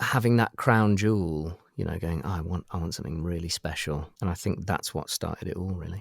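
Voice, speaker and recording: Talking at a fairly quick pace, a man with a British accent swings widely in loudness. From UK. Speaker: toy prototype collector. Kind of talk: casual chat. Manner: halting.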